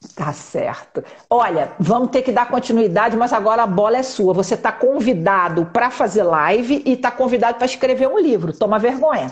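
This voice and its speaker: At a moderate pace with hardly any pauses, the speaker keeps very even loudness and lively intonation against noticeable background noise. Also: woman, fairly high pitch for a woman. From Brazilian Northeast. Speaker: live stream host. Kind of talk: casual live chat interview. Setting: Instagram live.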